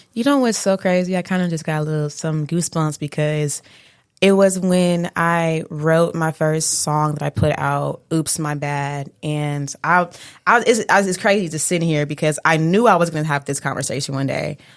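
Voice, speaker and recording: In an American accent, a woman speaks with a very deep, low pitch at a moderate pace and ordinary pitch variation. The recording is very clean, with a silent background. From Detroit. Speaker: rapper. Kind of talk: interview.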